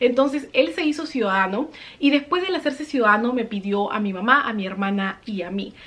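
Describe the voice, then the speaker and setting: Lively intonation marks this woman's fairly high voice as she speaks at a fairly quick pace over noticeable background noise. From Peru. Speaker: vlogger. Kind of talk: personal storytelling vlog.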